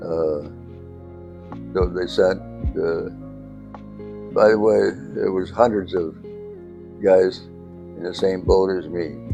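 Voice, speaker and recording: With a New York accent, a man speaks very slowly in a very deep, low voice, his pitch varying in an ordinary way, with long, frequent pauses and music playing in the background. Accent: American, New York. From upstate New York. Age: 80s+. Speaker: war veteran, former fighter pilot. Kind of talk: interview answer.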